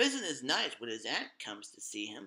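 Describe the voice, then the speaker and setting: Using a put-on character voice, a man talks at a fairly quick pace and a medium pitch. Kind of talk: gothic horror narration. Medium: read story. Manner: dramatic, ominous.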